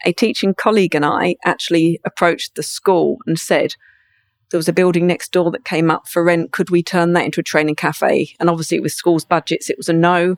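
Speaking at a fairly quick pace, a woman uses a southern English accent in a fairly low voice. The sound is dry and close, with no echo. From England, Brighton. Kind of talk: interview. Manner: raw, candid delivery.

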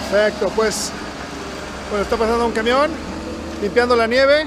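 Over noticeable background noise, a man speaks at an extremely high pitch with ordinary pitch variation. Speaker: podcast host. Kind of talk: casual interview. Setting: outdoors, walking in snow. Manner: loud.

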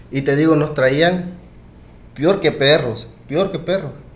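Audible room echo surrounds this voice. A man speaks with a fairly high pitch. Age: 20s. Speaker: podcast guest telling his migration story. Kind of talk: casual chat, personal storytelling.

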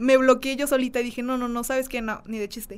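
A woman's fairly high pitch at a very fast pace. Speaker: content creator. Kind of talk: casual chat.

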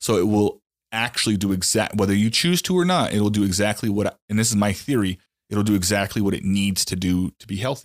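A man speaks with an unremarkable speaking voice at a fairly low pitch and a fairly quick pace. The recording is very clean with a silent background, and his pitch varies in an ordinary way. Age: 30s. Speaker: podcast host. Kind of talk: casual chat.

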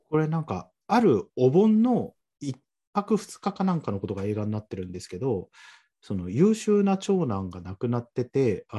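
A man speaks at a medium pitch with a dark, mellow, somewhat breathy tone and very wide pitch swings. The sound is dry and close with no echo, over a quiet background. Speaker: podcast guest. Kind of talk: casual chat.

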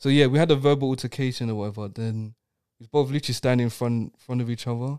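Recorded very cleanly with a silent background and a dry, close sound with no echo, a man speaks very fast at a medium pitch, with fairly even intonation and a dark, mellow tone. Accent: London. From East London, England. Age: 20s. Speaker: podcast guest sharing personal story. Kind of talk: casual chat, personal testimony.

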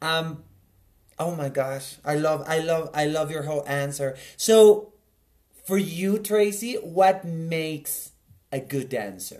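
With a Spanish accent, a man talks very slowly at a fairly high pitch, using lively intonation and long, frequent pauses. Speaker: podcast host, dancer. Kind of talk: casual interview.

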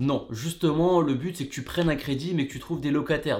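Pitch varies in an ordinary way as a man speaks. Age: 20s. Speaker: real estate investing YouTuber. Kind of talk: casual video monologue. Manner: casual, relaxed.

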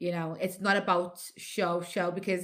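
Very clean recording with a silent background, a woman at medium pitch and a fairly slow pace. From Liverpool, England (Nigerian heritage). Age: 40s. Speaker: radio host. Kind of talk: casual interview chat.

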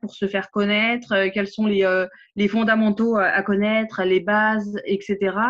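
Against a quiet background, a woman speaks at a fairly slow pace with a fairly high pitch. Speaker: social media trainer and coach. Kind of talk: casual interview chat. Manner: animated, engaged.

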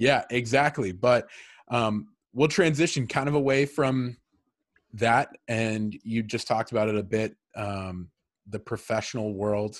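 Here a man with an American accent has an unremarkable speaking voice at a medium pitch with ordinary pitch variation. The background is quiet. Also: fairly slow pace. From Massachusetts. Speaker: podcast host. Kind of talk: casual interview.

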